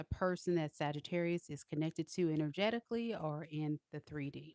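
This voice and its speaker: A woman with a slight country accent and a very deep, low pitch, at a fairly quick pace with ordinary pitch variation, in a dry, close sound with no echo. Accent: slight country twang. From Southern California. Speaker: tarot reader. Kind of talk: live tarot reading stream. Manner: casual, chatty.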